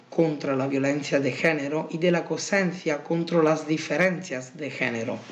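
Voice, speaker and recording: Audible room echo surrounds a man with an Italian accent and a fairly high pitch. He talks fairly slowly with ordinary pitch variation. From Italy. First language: Italian (speaking Spanish). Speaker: university researcher. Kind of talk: conference presentation. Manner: halting, with many fillers.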